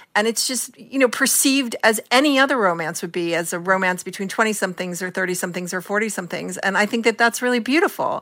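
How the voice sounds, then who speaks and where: Bright and sharp in tone, a woman speaks at a medium pitch with lively intonation. She talks at a very fast pace with hardly any pauses. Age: 60s. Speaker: culture columnist and critic. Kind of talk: radio interview.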